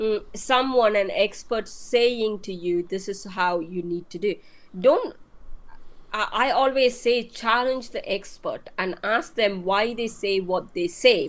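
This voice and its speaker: The pace is very slow. The intonation is lively. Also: woman. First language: not English. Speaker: marketing expert guest. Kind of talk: live-stream interview.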